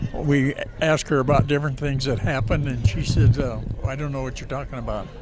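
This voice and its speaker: Over noticeable background noise and audible room echo, a man with a medium pitch talks at a fairly quick pace in a monotone, flat intonation. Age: 90. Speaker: war veteran. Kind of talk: interview.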